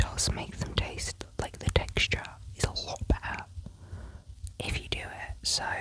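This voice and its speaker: Whispering with a British accent, a woman speaks at a fairly slow pace with long, frequent pauses amid noticeable background noise. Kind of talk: ASMR voiceover ramble. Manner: whispered, soft.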